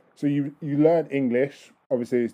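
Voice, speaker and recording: A man with an ordinary speaking voice, fairly high in pitch, at a moderate pace. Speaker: podcast host. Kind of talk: casual interview chat. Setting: phone call.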